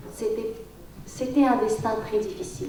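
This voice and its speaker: Lively intonation in a Tajik accent comes through audible room echo and noticeable background noise. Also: woman. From Tajikistan. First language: Tajik (speaking French). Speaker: writer and poet. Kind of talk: round table panel talk. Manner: halting.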